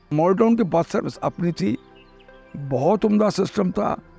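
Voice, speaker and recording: A man's lively intonation rides over music playing in the background. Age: 80s+. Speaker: longtime resident recounting local history. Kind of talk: oral history interview answer.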